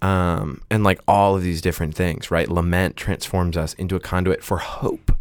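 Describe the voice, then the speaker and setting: With hardly any pauses, a man talks in a very deep, low pitch and a monotone, flat intonation, on a very clean recording with a silent background. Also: moderate pace. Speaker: podcast host. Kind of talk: casual chat. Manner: hesitant, filler-heavy.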